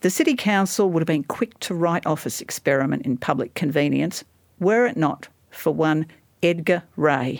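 The intonation is lively and the pace moderate, captured in a very clean recording with a silent background. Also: woman, fairly low pitch for a woman. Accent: Australian. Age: 60s. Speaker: writer and historian. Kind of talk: casual chat; reading aloud.

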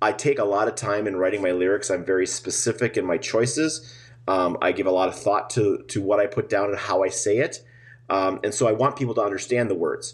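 Speaking at a fairly quick pace in an Upper Midwest accent, a man with a fairly low, somewhat breathy voice keeps very even loudness and ordinary pitch variation against a quiet background. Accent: Upper Midwest American. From Minnesota, US Midwest. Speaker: musician and drummer. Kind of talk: casual interview.

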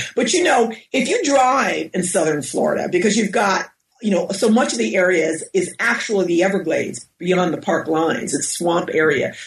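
Woman with an American accent, very wide pitch swings, very even loudness and a moderate pace. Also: medium pitch for a woman. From US Northeast, Westchester County, New York. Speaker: professor and author. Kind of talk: interview. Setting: at home.

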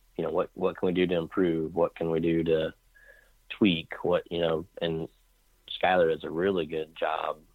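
A man's very deep, low voice with an American accent, flat and monotone, at a moderate pace. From Kansas, US Midwest. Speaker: land real estate agent and bowhunter. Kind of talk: interview. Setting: phone call.

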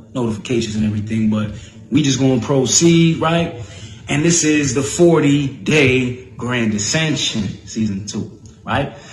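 With an animated tone, a man talks at a medium pitch and a fairly slow pace, his pitch varying in an ordinary way. Noticeable background noise and audible room echo are present. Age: 30s. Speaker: spiritual podcast host. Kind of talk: live-streamed motivational monologue. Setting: Facebook live video.

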